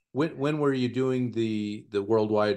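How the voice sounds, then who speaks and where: A man with a plain, everyday voice speaks at a fairly slow pace. His pitch is fairly low and shows ordinary variation. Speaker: podcast host. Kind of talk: casual interview conversation. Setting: home office.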